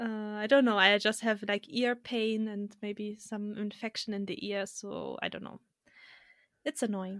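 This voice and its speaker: Speaking at a fairly slow pace, a woman with a fairly high pitch keeps a monotone, flat intonation while her loudness swings widely. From Germany. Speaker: podcast guest. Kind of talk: casual chat. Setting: remote recording.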